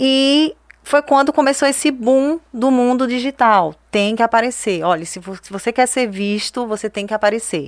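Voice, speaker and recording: The woman's voice is high in pitch. She speaks with lively intonation. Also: moderate pace. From Brazilian Northeast, Juazeiro (Bahia). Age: 30s. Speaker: digital influencer and entrepreneur. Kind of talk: interview.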